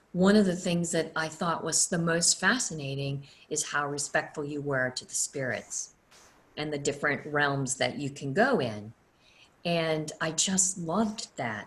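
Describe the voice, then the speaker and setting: The voice is somewhat breathy, with lively intonation. It carries an American accent. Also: woman, very deep, low pitch for a woman, fairly slow pace. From US South. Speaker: energy healer and teacher. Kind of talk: online class. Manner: casual.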